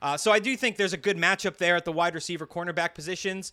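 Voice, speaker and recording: A man's voice sits at a high pitch and has a bright, sharp tone. The recording is very clean, over a silent background. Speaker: sports betting podcast co-host. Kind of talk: casual chat.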